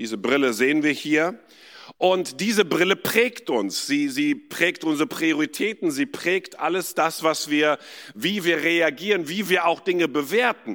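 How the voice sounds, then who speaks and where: With a plain, everyday voice, a man talks at a fairly slow pace and fairly high pitch, with lively intonation. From India. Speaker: pastor, guest preacher. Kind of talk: sermon. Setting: church with live audience.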